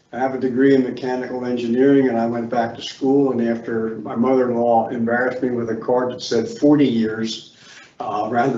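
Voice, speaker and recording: Over noticeable background noise and audible room echo, a man of medium pitch speaks at a fairly quick pace in a monotone, flat intonation. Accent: American. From Philadelphia, US. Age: 80s+. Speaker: committee applicant, retired engineer. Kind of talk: public meeting statement. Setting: meeting room with microphones.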